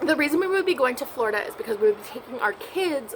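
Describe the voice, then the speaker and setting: Against noticeable background noise, a woman talks at a high pitch with very wide pitch swings. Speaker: vlogger. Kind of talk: casual chat. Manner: quiet.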